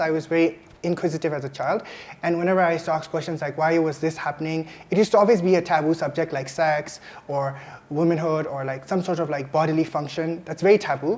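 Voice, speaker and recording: A woman's fairly low voice at a very fast pace, fairly even in intonation, over noticeable background noise. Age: 20s. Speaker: interview guest. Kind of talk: interview conversation. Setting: hotel filming location.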